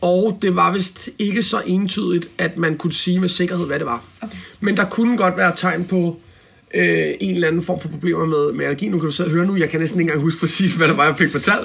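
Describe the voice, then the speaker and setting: Speech moves along fairly quickly. Its pitch rises and falls in a normal way. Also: man, high pitch for a man. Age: 30s. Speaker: self-employed business owner. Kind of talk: interview. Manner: halting, many fillers.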